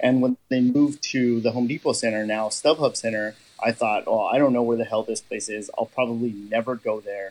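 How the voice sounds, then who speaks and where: Speaking in a Californian accent, a man talks at a fairly quick pace. His pitch sits at a medium level, with fairly even intonation. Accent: Californian American. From Southern California. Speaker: fan podcast host. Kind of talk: interview.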